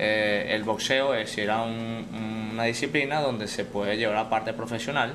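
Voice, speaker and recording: A man with a Venezuelan accent talks at a moderate pace and medium pitch, with hardly any pauses, very even loudness and fairly even intonation. Audible room echo and noticeable background noise fill the recording. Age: 30s. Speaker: mixed martial arts fighter. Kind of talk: casual chat.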